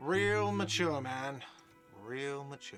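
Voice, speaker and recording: A man puts on a whiny character voice at medium pitch with ordinary pitch variation, and music plays clearly in the background. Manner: whiny, complaining.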